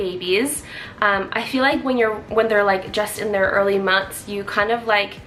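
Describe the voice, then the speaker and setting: Over music in the background, a woman with a Canadian accent speaks at a medium pitch with fairly even intonation. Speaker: vlogger. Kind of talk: casual chat.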